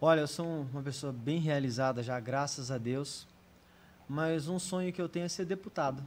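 At a moderate pace, a man talks in an ordinary speaking voice, fairly high in pitch, with ordinary pitch variation. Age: 40s. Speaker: physiotherapist and deputy mayor. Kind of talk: casual interview chat.

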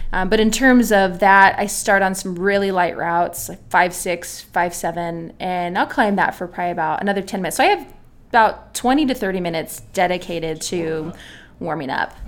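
A woman speaks with an American accent and an ordinary speaking voice. Her pitch is medium with ordinary variation, and her pace is fairly quick. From California, San Diego. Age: 30s. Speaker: obstacle course athlete. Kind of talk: interview.

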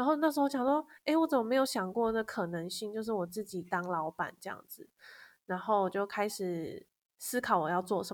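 The recording is very clean, with a silent background. A woman speaks in a fairly high voice with lively intonation. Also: moderate pace. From Taiwan, Kaohsiung. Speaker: copywriter. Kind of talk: interview.

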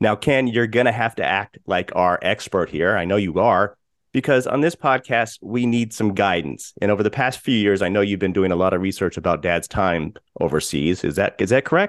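This man has an ordinary speaking voice, pitched fairly low, with lively intonation. He keeps a moderate pace and very even loudness. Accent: American. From Colorado, US. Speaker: podcast host. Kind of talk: casual chat.

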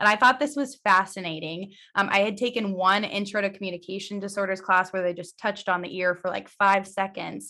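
The voice has a bright, sharp tone and fairly even intonation. It moves at a fairly quick pace with hardly any pauses. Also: woman, medium pitch for a woman. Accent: Midwestern American. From Missouri, US Midwest. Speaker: vestibular audiologist. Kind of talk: casual interview.

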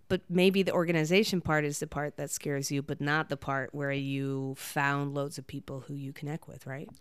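A woman with a very deep, low pitch speaks in an animated tone at a moderate pace, with hardly any pauses. The recording is very clean with a silent background. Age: 30s. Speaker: friend of the host, digital nomad community organizer. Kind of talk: casual chat. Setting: lying in bed at the host's house. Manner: animated, laughs often.

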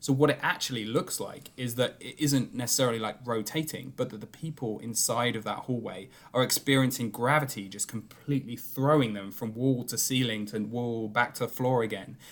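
A man with a British accent talks at a fairly quick pace in a medium pitch, his intonation fairly even and hardly any pauses between words. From Britain. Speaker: film podcast co-host. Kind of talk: casual chat.

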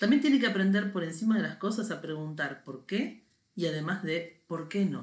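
A woman with a plain, everyday voice speaks at a moderate pace with lively intonation. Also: medium pitch for a woman. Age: 40s. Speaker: podcast co-host. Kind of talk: casual chat.

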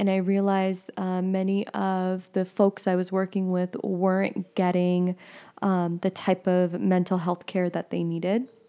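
A woman speaks at a fairly slow pace in a flat, monotone way, her pitch medium and her tone dark and mellow. The recording is very clean, with a silent background. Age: 20s. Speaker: podcast host, spiritual wellness practitioner. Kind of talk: casual chat.

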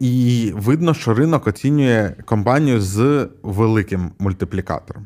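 Recorded very cleanly against a silent background, a man with an unremarkable speaking voice talks at a fairly slow pace, at a medium pitch with ordinary pitch variation. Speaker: podcast co-host, tech investor. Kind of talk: casual chat.

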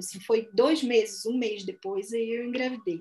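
Lively intonation at a moderate pace. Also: woman. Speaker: anthropologist and writer. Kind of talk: casual chat.

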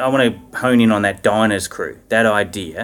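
A man speaks at a moderate pace with an Australian accent. His pitch sits fairly low. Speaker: school chaplain and podcast host. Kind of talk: interview.

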